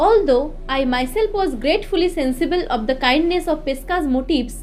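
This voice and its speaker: Over music in the background, a woman with an Indian accent speaks at a moderate pace in a high pitch, her intonation lively and her loudness very even. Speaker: audiobook narrator. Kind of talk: audiobook reading of a classic novel.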